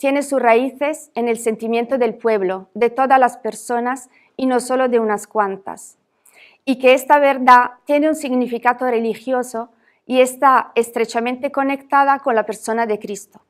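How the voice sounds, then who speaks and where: In a non-native accent, a woman talks with fairly even intonation and a high pitch, recorded very cleanly against a silent background. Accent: foreign accent in Spanish. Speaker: academic speaker. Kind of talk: reading a lecture paper aloud.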